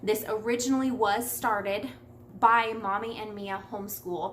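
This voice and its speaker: Over noticeable background noise and audible room echo, the speech shows ordinary pitch variation. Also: woman. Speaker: homeschooling mom vlogger. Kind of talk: casual vlog talk answering questions. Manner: fast; chatty.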